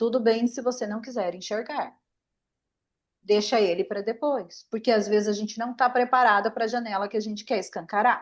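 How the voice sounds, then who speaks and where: A woman speaks in a fairly high pitch. Her pace is moderate. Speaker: aromatherapist. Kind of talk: online class.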